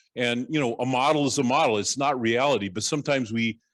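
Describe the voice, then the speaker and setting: A man with an American accent at a very fast pace, over a quiet background. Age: 60s. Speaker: economics professor. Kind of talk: lecture. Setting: summer school lecture. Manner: halting, many fillers.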